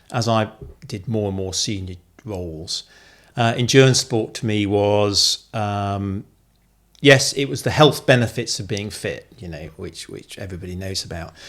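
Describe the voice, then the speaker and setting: In a very clean recording with a silent background, a man with a British accent speaks at a fairly low pitch with ordinary pitch variation and big swings in loudness. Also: moderate pace. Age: 60s. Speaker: retired army officer and former CEO, amateur cyclist. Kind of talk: interview conversation.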